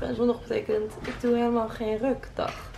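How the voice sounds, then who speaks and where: There's light background noise. Through it, a woman talks. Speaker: vlogger. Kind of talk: casual vlog chat. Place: home room. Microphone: phone near.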